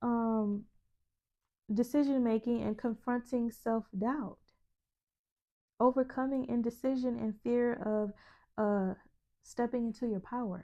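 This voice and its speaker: Soft-spoken and very slow, a woman with a high pitch and a dark, mellow tone keeps fairly even intonation and leaves long, frequent pauses. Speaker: spiritual self-help video host. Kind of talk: motivational monologue to camera.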